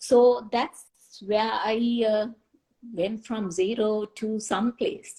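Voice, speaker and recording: Speaking at a very slow pace with a non-native accent, a woman has a dark, mellow, somewhat breathy tone and fairly even intonation. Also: fairly high pitch for a woman. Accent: foreign. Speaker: chemist. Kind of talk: interview. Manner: halting.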